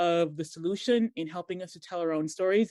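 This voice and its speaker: In an American accent, a woman speaks at a fairly low pitch with ordinary pitch variation. The sound is dry and close, with no echo. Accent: American twang. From Montserrat, then raised in US (Boston). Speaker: digital marketer and blogger. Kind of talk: podcast interview.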